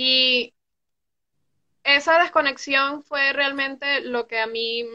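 A woman with a high pitch projects a raised voice in a bright, sharp tone, speaking at a very slow pace with ordinary pitch variation and long, frequent pauses. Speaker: recovering addict. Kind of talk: personal testimony. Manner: loud. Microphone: connection drops.

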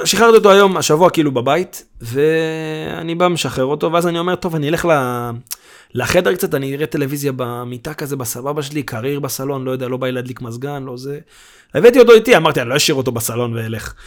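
Lively in intonation and very fast, a man with a fairly high pitch speaks with big swings in loudness. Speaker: podcast host. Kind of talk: casual chat. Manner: animated.

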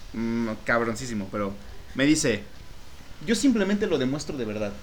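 Audible room echo surrounds a man talking at a fairly quick pace. His pitch swings very widely. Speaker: podcast co-host. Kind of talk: casual chat.

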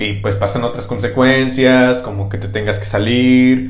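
Ordinary pitch variation, with noticeable background noise and audible room echo. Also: man. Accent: Mexican. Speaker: history podcast host. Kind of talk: comedic history storytelling. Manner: animated.

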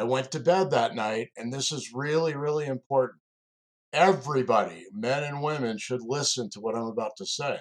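A man has an unremarkable speaking voice at a fairly high pitch with ordinary pitch variation. He talks at a moderate pace, with big swings in loudness. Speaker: executive coach and security recruiter, co-host. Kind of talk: personal storytelling.

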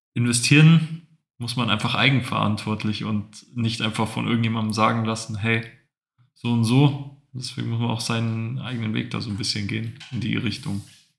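Very clean recording of a man with an ordinary speaking voice and a silent background. He speaks at medium pitch and a moderate pace with fairly even intonation. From Bavaria, Allgäu (Kaufbeuren). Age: 20s. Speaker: finance podcast co-host. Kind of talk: casual chat.

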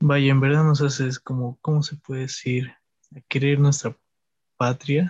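Somewhat breathy and fairly high in pitch, a man speaks at a fairly slow pace with monotone, flat intonation. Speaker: podcast host. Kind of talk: casual chat.

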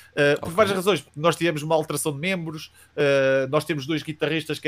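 A man speaks with a European Portuguese accent. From Portugal, Coimbra. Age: 30s. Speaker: youtuber and metal band vocalist. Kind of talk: casual interview.

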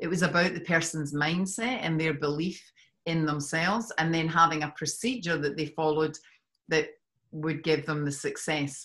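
In a very clean recording with a silent background, a woman with a very deep, low pitch and ordinary pitch variation speaks at a moderate pace. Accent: slight Scottish. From Scotland. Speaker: life coach. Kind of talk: podcast interview.

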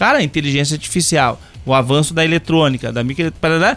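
There is music in the background as a man talks. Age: 50s. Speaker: university professor of computing. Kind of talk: casual podcast chat.

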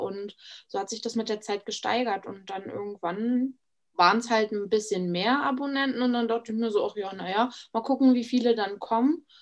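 Fairly quick speech from a woman with a normal speaking voice, fairly high pitch and fairly even intonation. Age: 20s. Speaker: Instagram influencer. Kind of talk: casual interview chat.

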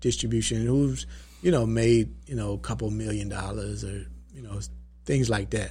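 A man with an Atlanta accent. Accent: Southern US, Atlanta. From Atlanta, Georgia. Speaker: entrepreneur and documentary producer.

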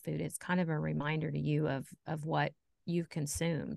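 Against a quiet background, someone speaks at a moderate pace with an American accent. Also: woman. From US Midwest, southern Indiana. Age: 50s. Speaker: fitness coaching client. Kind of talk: casual interview.

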